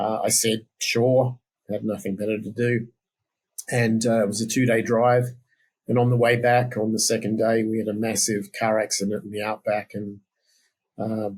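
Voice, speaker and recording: With an Australian accent, a man speaks at a medium pitch and moderate pace in a flat monotone, pausing long and often. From South Australia. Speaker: software developer and former musician. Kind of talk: interview. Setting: podcast.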